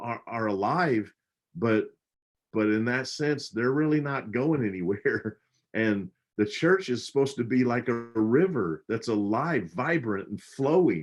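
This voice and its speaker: Using a normal speaking voice, a man talks at a fairly slow pace with lively intonation. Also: medium pitch for a man. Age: 60s. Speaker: pastor. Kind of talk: casual chat. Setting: livestream.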